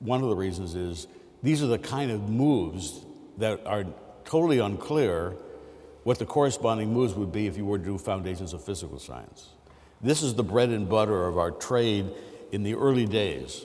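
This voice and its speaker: With audible room echo, a man of fairly low pitch speaks with lively intonation. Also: moderate pace. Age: 60s. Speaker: mathematics professor. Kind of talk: lecture. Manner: halting, many fillers.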